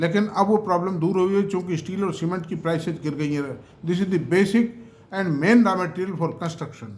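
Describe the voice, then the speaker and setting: Audible room echo surrounds a man with a high pitch. He talks at a moderate pace with fairly even intonation. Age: 70s. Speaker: stock market commentator. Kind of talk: investment talk to camera. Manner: conversational, mixing Hindi and English.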